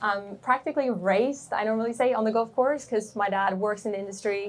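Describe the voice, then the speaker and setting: A woman with a Swedish accent speaks at a fairly quick pace, her pitch fairly high with ordinary variation. There is noticeable background noise. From Sweden. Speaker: golf content creator. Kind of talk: panel Q&A.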